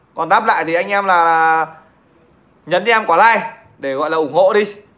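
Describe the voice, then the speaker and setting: The tone is bright and sharp, and the voice is raised and projected. Intonation stays fairly even. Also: man. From Nghệ An, Vietnam; Vietnam. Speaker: livestreamer telling stories. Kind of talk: casual livestream chat and storytelling. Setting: online livestream. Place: home room. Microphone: phone near.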